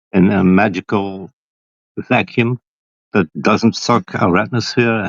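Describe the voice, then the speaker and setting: Recorded dry and close with no echo, a man with a Flemish accent speaks at a medium pitch. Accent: Belgian (Flemish) accent in English. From Belgium. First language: not English. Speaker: flat-earth livestream panelist. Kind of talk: heated debate.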